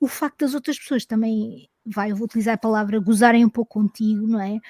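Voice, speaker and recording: Somewhat breathy and dark, mellow in tone, a woman speaks at a fairly quick pace with fairly even intonation, in a dry, close sound with no echo on a very clean recording with a silent background. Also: fairly high pitch for a woman. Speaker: podcast host. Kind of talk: interview conversation.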